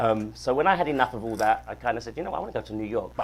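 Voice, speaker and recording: A man with a British accent talks very fast, his intonation lively. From South London, England. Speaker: singer-songwriter. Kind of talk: casual interview. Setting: studio.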